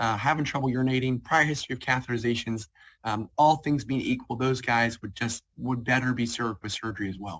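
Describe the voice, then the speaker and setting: On a very clean recording with a silent background, a man with an American accent and medium pitch speaks at a very fast pace. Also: ordinary pitch variation. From Ohio (Cincinnati), US Midwest. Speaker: radiation oncologist. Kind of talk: presentation with Q&A. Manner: hesitant, many fillers.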